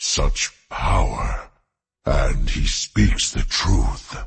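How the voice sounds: Putting on a character voice, a man speaks at an extremely low pitch and a very slow pace with ordinary pitch variation.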